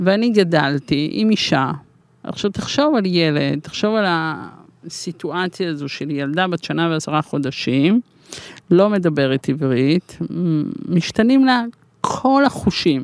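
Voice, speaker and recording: Fairly low in pitch, a woman speaks at a very slow pace. Her pitch swings very widely. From Israel. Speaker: life coach and coaching school founder. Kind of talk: interview.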